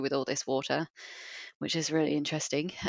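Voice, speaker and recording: A woman's voice with a very deep, low pitch. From England. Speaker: water research manager. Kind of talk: interview.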